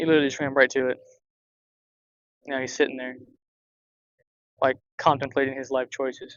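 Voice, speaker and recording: Delivered at a fairly quick pace, the speech has long, frequent pauses. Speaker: fishing vlogger. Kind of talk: casual vlog narration. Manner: loud, talking over airboats.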